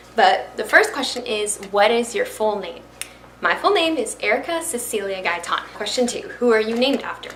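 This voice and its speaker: A high-pitched woman with a Florida accent at a moderate pace, very wide pitch swings, audible room echo and noticeable background noise. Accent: American, Florida. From Florida (Miami and Brooksville near Tampa). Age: young. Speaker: YouTuber and fashion reseller. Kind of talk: casual talk to camera. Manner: chatty, animated.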